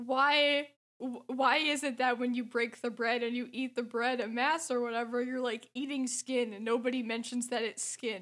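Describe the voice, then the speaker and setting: Her intonation is monotone and flat, with hardly any pauses. The woman talks at a moderate pace in a high voice. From France. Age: 20s. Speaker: podcast guest. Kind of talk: casual chat.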